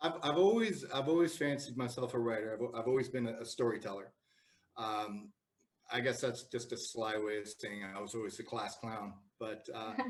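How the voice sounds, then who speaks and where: Speaking at a moderate pace, a man with a Canadian accent keeps a medium pitch with ordinary pitch variation. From Canada, Toronto. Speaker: writer. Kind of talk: interview. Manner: halting, many repetitions and fillers.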